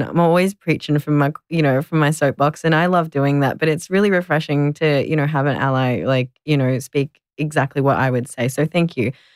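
The speech comes at a fairly quick pace with an Australian accent. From Melbourne, Australia. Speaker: content creator and advocate. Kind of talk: interview.

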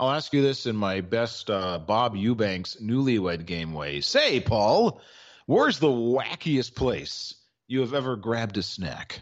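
A man speaks with an American accent in a normal speaking voice at a medium pitch. His intonation is lively, and the background is quiet. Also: fairly slow pace. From Maryland. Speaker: sports radio co-host. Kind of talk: casual banter, sports talk show.

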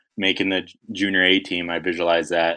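Over a quiet background, a man speaks at a very deep, low pitch with a bright, sharp tone and monotone, flat intonation. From Alberta, Canada (Samson Cree Nation). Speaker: former hockey goalie and motivational speaker. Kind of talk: interview.

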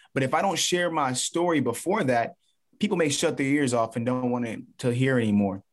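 An ordinary speaking voice from a man with an American accent, medium pitch, lively intonation and a fairly quick pace, over a quiet background. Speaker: motivational speaker and former baseball player. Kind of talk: interview.

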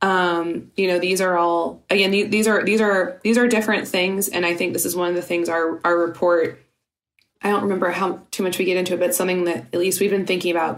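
With audible room echo, a woman speaks at a fairly low pitch. Her intonation is flat and monotone, and her loudness stays very even. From Louisiana. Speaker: digital security researcher. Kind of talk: interview.

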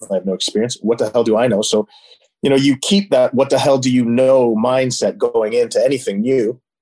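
With a Canadian accent, a man speaks at a fairly quick pace in a dark, mellow tone of medium pitch with ordinary pitch variation. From Ontario, Canada (Niagara region). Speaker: animal welfare activist and former marine park trainer. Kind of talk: casual chat.

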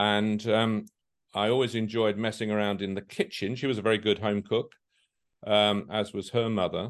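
A man with a southern English accent talks at a moderate pace. His fairly low voice stays monotone and flat. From London. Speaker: hotel company chairman. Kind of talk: interview. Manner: halting.

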